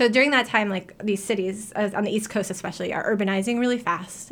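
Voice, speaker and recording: In an American accent, a woman speaks at a fairly quick pace with monotone, flat intonation on a very clean recording with a silent background. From New York. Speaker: history professor. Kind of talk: radio interview. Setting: radio studio. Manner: casual, many filler words.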